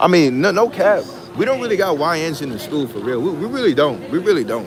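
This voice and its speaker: Very fast and full of very wide pitch swings, a man with an American accent speaks in a fairly high pitch, with audible room echo and noticeable background noise. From US Northeast (Long Island, New York). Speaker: college student livestreamer. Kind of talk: casual livestream chat. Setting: school dining hall. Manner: repetitive, halting.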